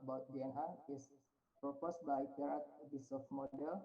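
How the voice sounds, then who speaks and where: A man with a fairly high pitch at a moderate pace. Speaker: researcher presenting at conference. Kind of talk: conference presentation. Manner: halting.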